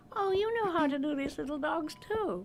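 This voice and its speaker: A woman's put-on, squeaky character voice, high-pitched with very wide pitch swings, at a moderate pace over clear background noise. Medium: video game. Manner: soft, wistful.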